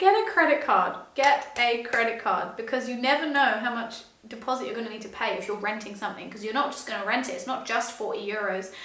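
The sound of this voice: Strong room echo surrounds a woman speaking fast at a fairly high pitch, her fairly bright tone showing ordinary pitch variation and few pauses.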